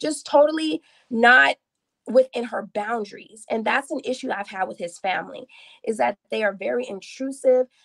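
A woman talks at a moderate pace with a fairly high pitch and lively intonation. Her voice has vocal fry, and the sound is dry and close with no echo. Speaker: caller. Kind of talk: casual chat. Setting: video call.

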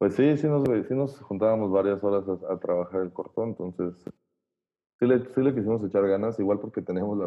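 A normal speaking voice from a man, fairly low in pitch, fairly quick in pace, with ordinary pitch variation. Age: 20s. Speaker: audio engineer. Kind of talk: casual chat.

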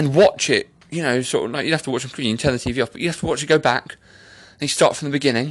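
In an English accent, a man with a fairly high pitch speaks in an animated tone with ordinary pitch variation. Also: quiet background. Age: 30s. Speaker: podcast host. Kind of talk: casual monologue. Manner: rambling, animated.

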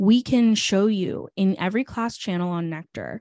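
A woman's normal speaking voice at a moderate pace, dry and close with no echo, over a quiet background. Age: 20s. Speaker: startup founder. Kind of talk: casual interview.

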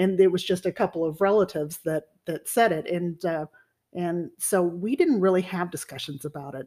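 In a plain, everyday voice, a woman speaks with an American accent and a fairly low pitch. Her pace is moderate, with ordinary pitch variation. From Texas (Sherman). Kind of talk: casual chat.

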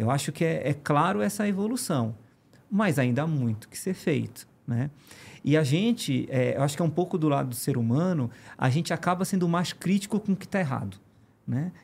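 On a very clean recording with a silent background, a man talks at a moderate pace in a somewhat breathy, fairly high voice with very wide pitch swings. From Pará, northern Brazil. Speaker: engineering firm executive. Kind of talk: podcast interview.

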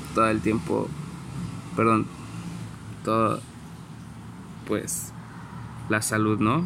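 Talking at a fairly slow pace, a man with a Mexican accent uses ordinary pitch variation. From Mexico, San Luis Potosí. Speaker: entrepreneur podcaster. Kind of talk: personal reflection monologue. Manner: halting, many fillers.

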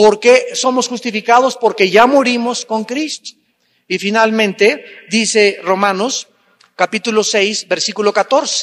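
A high-pitched man at a fairly slow pace with fairly even intonation, in a dry, close sound with no echo. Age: 60s. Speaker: pastor. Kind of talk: sermon.

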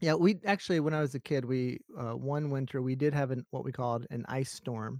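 With an American accent and a normal speaking voice, a man speaks at medium pitch and a fairly quick pace with ordinary pitch variation, in a dry, close sound with no echo on a very clean recording with a silent background. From US South, Alabama. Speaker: professor. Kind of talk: casual interview.

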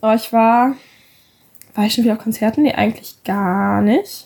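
A woman's voice, fairly high in pitch, with a dark, mellow tone. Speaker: podcast co-host. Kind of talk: casual chat.

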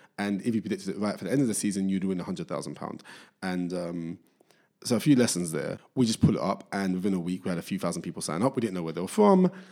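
Talking at a very fast pace, a man uses a fairly low pitch, a dark, mellow tone and ordinary pitch variation. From East London / Essex border (Barking and Dagenham). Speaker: venture capital partner, startup founder. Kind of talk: casual interview.

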